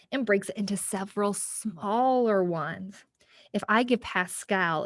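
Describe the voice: With ordinary pitch variation, the speaker gives a plain reading aloud.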